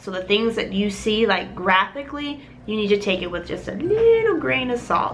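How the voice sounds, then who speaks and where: A woman's fairly high, animated voice with audible room echo and noticeable background noise. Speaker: gaming vlogger. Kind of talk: casual vlog talk.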